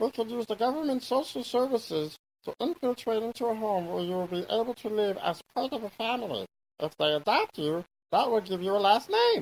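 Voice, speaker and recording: A put-on character voice, fairly high in pitch, at a fairly quick pace. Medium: machinima. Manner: chatty, self-satisfied.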